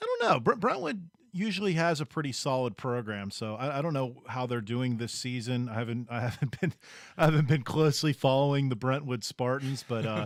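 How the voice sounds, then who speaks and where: Against a silent background in a very clean recording, a man with a Pittsburgh accent talks at a fairly quick pace, medium in pitch with ordinary pitch variation. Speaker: sports radio co-host. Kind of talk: sports talk show. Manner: halting, many fillers.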